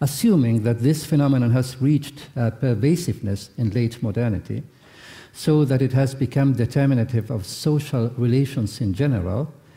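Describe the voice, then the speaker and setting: Speaking with a non-native accent, a man at medium pitch has a dark, mellow, somewhat breathy tone, ordinary pitch variation and a moderate pace. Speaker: philosopher, keynote speaker. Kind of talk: lecture. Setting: conference hall with audience. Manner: formal; halting, hesitant.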